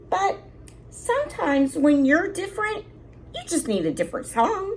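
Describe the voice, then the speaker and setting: A woman's put-on character voice, extremely high and full of very wide pitch swings, over clear background noise. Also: moderate pace. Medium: read story. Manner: gentle, polite.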